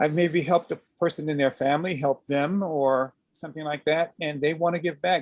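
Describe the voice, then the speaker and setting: Fairly quick with hardly any pauses, a man talks with a fairly high pitch and fairly even intonation in a dry, close sound with no echo. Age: 60s. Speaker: aikido teacher. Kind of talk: interview. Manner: halting.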